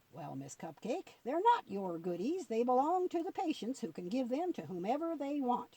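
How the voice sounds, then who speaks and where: A put-on character voice, fairly high in pitch, with very wide pitch swings and hardly any pauses. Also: moderate pace. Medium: read story. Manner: drawling, folksy.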